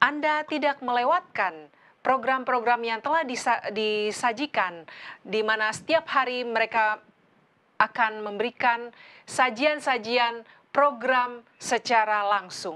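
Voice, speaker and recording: A woman speaks very slowly with a bright, sharp tone. Her pitch sits fairly high, with ordinary variation. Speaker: co-host. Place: studio. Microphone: lapel.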